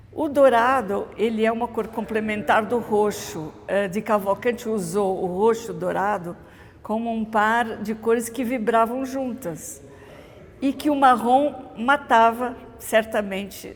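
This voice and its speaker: The woman's voice is fairly high in pitch. She speaks very slowly, with ordinary pitch variation. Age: 70s. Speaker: mosaic restorer. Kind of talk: interview testimony. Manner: hesitant, with filler sounds.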